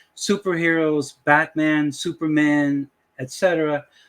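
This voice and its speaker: Here a man speaks with a Dutch accent at a fairly high pitch. The recording is very clean, with a silent background. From Dutch West Indies. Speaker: YouTuber, AI image tutorial maker. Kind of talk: casual talk to camera, tutorial intro. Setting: screen-share recording at computer. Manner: hesitant, many fillers.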